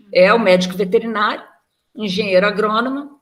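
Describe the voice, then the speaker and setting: This woman speaks at a medium pitch with a slight Rio de Janeiro accent. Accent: slight carioca. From Rio de Janeiro, Brazil. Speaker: veterinarian and federal agricultural auditor. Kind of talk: interview. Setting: recorded live video call.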